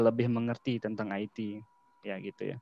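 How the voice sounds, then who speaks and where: The sound is dry and close with no echo, and the speech comes at a fairly quick pace with fairly even intonation. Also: man. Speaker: cyber security practitioner, guest speaker. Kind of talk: online lecture / knowledge sharing. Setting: video call. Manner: casual, with filler words.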